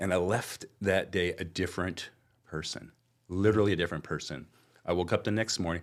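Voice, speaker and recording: In a very clean recording with a silent background, a man with a Californian accent speaks at a fairly quick pace in a very deep, low pitch. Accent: General American (Californian). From Southern California, Anaheim. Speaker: wealth management business owner. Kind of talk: podcast interview.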